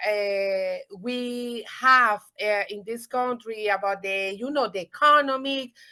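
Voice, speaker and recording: A woman with a Spanish accent speaks very slowly in a high, bright, sharp voice with ordinary pitch variation. The recording is very clean, with a silent background. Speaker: real estate agent. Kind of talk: audience question. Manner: halting.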